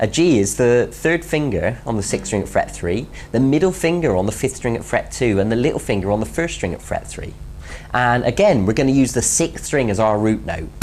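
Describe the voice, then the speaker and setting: Noticeable background noise under speech at a fairly quick clip. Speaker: guitar teacher. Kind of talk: tutorial. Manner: fast.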